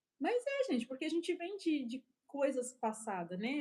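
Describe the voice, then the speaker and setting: This is a woman speaking. Her pace is moderate. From Brazil, São Paulo. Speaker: preacher. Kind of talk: sermon. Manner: animated.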